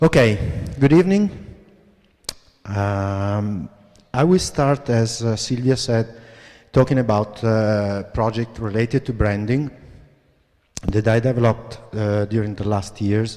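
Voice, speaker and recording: A man with an Italian accent at a medium pitch, dark and mellow in tone, fairly slow with long, frequent pauses and ordinary pitch variation. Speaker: graphic designer, creative director. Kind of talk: lecture. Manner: halting.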